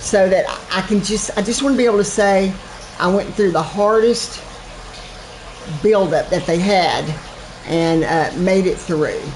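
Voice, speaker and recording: A woman talks at a moderate pace, with audible room echo and noticeable background noise in the recording. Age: 60s. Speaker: gaming streamer. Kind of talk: live gameplay commentary. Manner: casual, chatty with repetitions.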